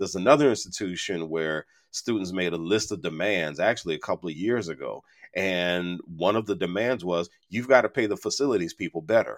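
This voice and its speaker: This is an unremarkable speaking voice with ordinary pitch variation at a fairly quick pace. The recording is very clean with a silent background. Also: man, fairly low pitch for a man. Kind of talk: casual interview chat. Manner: humorous, easygoing.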